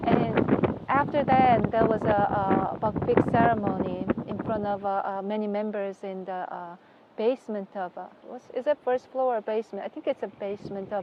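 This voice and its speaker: In a Korean accent, a woman of medium pitch speaks at a moderate pace. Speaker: religious leader's wife. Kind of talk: interview. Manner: halting.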